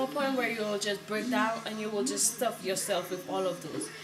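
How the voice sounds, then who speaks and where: Music plays behind a woman speaking at a moderate pace with ordinary pitch variation. Audible room echo surrounds her voice. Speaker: vlogger. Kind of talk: tutorial. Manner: mumbling.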